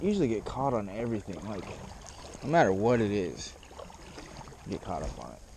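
Recorded with a dry sound and no echo over light background noise, a man speaks with ordinary pitch variation. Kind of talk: casual vlog chat. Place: boat. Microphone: phone near.

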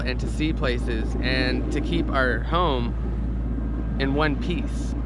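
Loud noise fills the background. The sound is dry, with no echo. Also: man. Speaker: sailing vlogger. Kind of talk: casual vlog chat. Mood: explaining, slightly defensive. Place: boat. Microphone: phone near.

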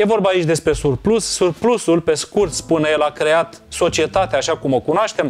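Speed is medium throughout. The pitch rises and falls in a normal way. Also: man. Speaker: book show host. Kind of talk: book review commentary. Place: home room. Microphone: lapel.

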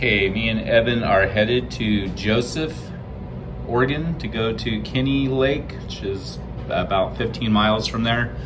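At a fairly slow pace, a man with a fairly low pitch speaks over noticeable background noise. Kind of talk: casual vlog chat. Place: home room. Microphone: phone near.

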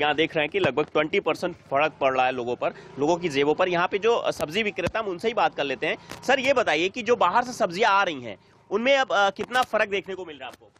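A man with a high pitch and a fairly bright tone talks at a fast pace with few pauses and lively intonation, in a dry, close sound with no echo.

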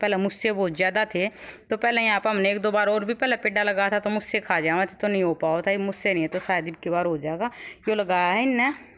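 Moving at a fairly quick pace, a woman speaks with ordinary pitch variation. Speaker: rural home vlogger. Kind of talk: casual vlog chat. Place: farm. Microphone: phone near.

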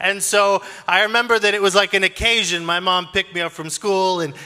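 A man speaks with a bright, sharp tone and fairly even intonation. The background is quiet. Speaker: preacher. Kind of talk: sermon. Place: stage. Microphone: handheld.

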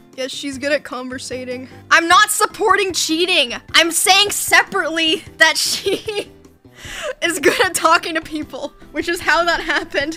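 Faint music plays in the background as a woman raises and projects her voice at a moderate pace. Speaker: livestreamer. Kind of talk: casual stream chat, reading and answering chat. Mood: amused, laughing, a bit defensive. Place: home room.

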